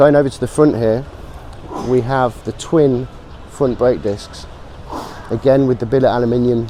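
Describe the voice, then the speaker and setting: A man at a moderate pace with fairly even intonation, noticeable background noise behind him. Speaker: motorcycle brand representative. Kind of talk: trade show walkaround presentation.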